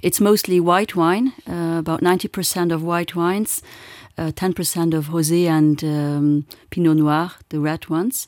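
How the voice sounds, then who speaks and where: At a moderate pace, a woman talks in a normal speaking voice, fairly low in pitch, with fairly even intonation on a very clean recording over a silent background. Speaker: regional tourism representative. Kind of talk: radio interview.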